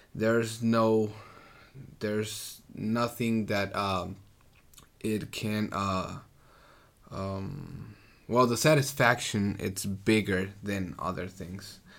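A man with a Mexican accent speaks at fairly low pitch with fairly even intonation and long, frequent pauses. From Mexico, Ciudad Juarez. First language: Spanish. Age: 20s. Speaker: ministry worker. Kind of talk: interview. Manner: halting.

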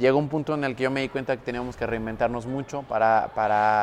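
A man's fairly quick, monotone, flat delivery over noticeable background noise. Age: 20s. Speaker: entrepreneur and marketing consultant. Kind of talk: casual interview chat.

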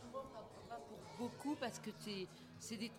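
A woman talks at a moderate pace with medium pitch. Room echo and noticeable background noise can be heard. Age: 60s. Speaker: festival director. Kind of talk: casual chat. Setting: live radio recording in a record shop.

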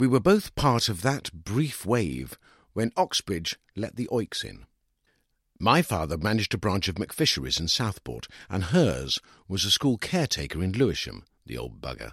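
A man's low, fairly bright voice with a slightly husky edge and big pitch swings at a moderate pace, in a very clean recording with a silent background and a dry, close sound with no echo

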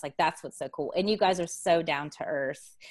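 A woman with an American accent speaks at a fairly low pitch with ordinary variation. The background is quiet. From Texas. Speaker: business coach. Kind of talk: podcast interview.

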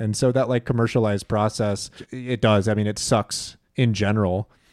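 This man speaks with a fairly low pitch. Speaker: podcast host. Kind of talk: casual chat about music. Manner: rambling, halting, enthusiastic.

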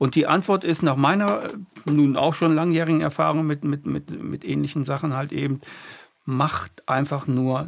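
Here a man speaks at a moderate pace with a fairly high pitch and ordinary pitch variation. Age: 60s. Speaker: podcast host. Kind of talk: casual chat. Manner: halting.

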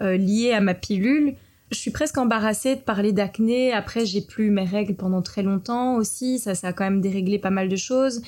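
In a very clean recording with a silent background, a woman with a medium pitch and a dark, mellow tone talks at a moderate pace with ordinary pitch variation. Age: 30s. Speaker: entrepreneur and film director. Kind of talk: interview conversation.

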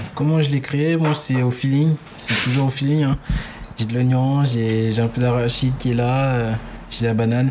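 At a moderate pace, the speaker keeps fairly even intonation and very even loudness over noticeable background noise. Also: man, medium pitch for a man. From French Guiana, Haitian parents, in France since 2000. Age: 20s. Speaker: chef and restaurant owner. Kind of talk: interview. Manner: halting.

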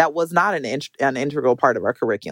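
The sound is dry and close, with no echo. The speaker talks at a very fast pace in an American accent, with ordinary pitch variation. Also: woman. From Minnesota, US. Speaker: academic researcher. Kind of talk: interview.

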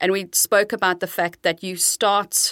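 A woman speaks at a fairly slow pace in a bright, sharp tone. The sound is dry and close with no echo, on a very clean recording with a silent background. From South Africa. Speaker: marketing executive. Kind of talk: podcast interview.

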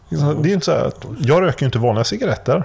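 Noticeable background noise runs behind a man's talking. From Sweden, Gothenburg. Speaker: podcast host. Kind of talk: casual chat. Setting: remote recording.

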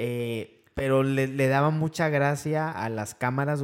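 Fairly even intonation marks this man's speech, delivered in a normal speaking voice at a medium pitch. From Veracruz, Mexico. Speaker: football fan podcast co-host. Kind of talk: casual chat.

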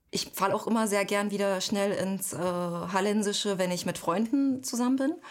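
At a moderate pace, a woman speaks in an ordinary speaking voice with a medium pitch and ordinary pitch variation. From eastern Germany, Halle an der Saale. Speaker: author and editor. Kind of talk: interview.

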